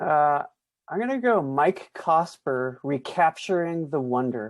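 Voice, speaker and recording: With an ordinary speaking voice, a man talks at a fairly slow pace, his fairly high pitch carrying lively intonation against a quiet background. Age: 50s. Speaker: pastor and author. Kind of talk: interview.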